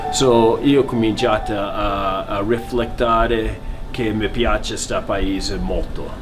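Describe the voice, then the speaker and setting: A man speaks at a very slow pace. Music plays in the background, and the room echo is audible. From US West Coast, San Francisco, California. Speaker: Italian-American emigrant's son. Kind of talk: family storytelling interview. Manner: halting.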